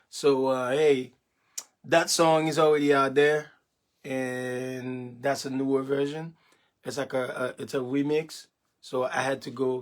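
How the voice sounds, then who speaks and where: A man with a Haitian accent speaks at a fairly slow pace in monotone, flat intonation. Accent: Haitian Creole. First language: Haitian Creole. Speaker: gospel musician. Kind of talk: casual livestream chat. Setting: home studio. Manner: halting, many fillers.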